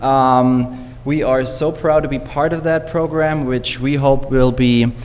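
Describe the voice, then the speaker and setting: Man with a German accent and ordinary pitch variation, with noticeable background noise and audible room echo. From Germany. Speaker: teacher. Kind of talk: public speech at council meeting. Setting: city council meeting.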